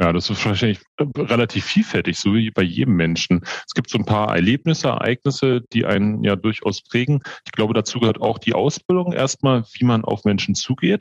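Intonation here is lively, in an unremarkable speaking voice. The pace is fairly quick. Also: man, medium pitch for a man. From Berlin, Germany. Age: 40s. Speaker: hospital group executive. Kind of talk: interview.

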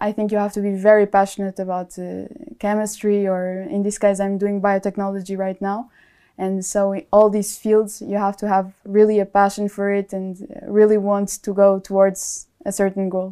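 A woman with a Portuguese accent speaks at a medium pitch and moderate pace, her tone dark and mellow. Her intonation is monotone and flat on a very clean recording with a silent background. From Portugal. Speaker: biotechnology student. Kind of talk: interview.

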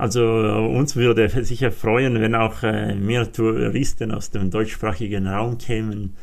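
A man talks at a very slow pace. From Aosta Valley, Italy (Walser community). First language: Walser German dialect and Italian (speaking German). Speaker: mountain guide. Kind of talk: interview. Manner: halting, many fillers.

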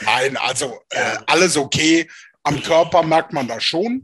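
A man with a plain, everyday voice speaks at a fairly slow pace with fairly high pitch. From Rhineland, Germany (Alfter near Bonn). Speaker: former American football player. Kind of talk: casual interview.

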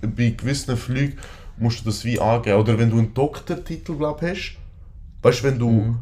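A man talks at a fairly quick pace. His voice is dark and mellow, and somewhat breathy. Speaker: podcast co-host. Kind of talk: casual chat.

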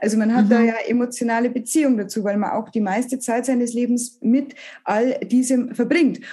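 A woman with a Bavarian accent, high-pitched yet dark and mellow in tone, at a moderate pace with fairly even intonation. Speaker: comedian. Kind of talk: casual interview. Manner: halting.

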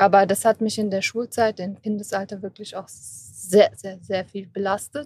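A woman with a medium-pitched, somewhat breathy voice speaks at a moderate pace in a flat monotone, her loudness swinging widely and hardly any pauses, the sound dry and close with no echo. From Germany, Kassel. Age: 20s. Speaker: patient with rare neuromuscular disease. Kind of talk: interview. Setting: recorded at an event.

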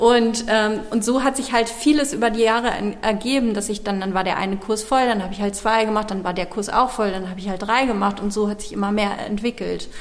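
A woman talks at a fairly quick pace with hardly any pauses, her pitch fairly high and her intonation fairly even. Noticeable background noise and audible room echo fill the recording. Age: 40s. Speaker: dance studio owner. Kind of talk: interview. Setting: dance studio, old factory hall.

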